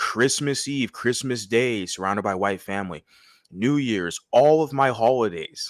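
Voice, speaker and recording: In a very clean recording with a silent background, a man speaks fairly slowly at medium pitch with ordinary pitch variation, a plain, everyday voice. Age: 30s. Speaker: live streamer discussing viewer comments. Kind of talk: casual live stream commentary. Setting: late-night live stream.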